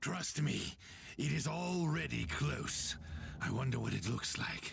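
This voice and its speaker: A man's raspy, put-on character voice at a medium pitch, fairly slow pace and very even loudness, over clear background noise. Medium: video game. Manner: fervent, commanding.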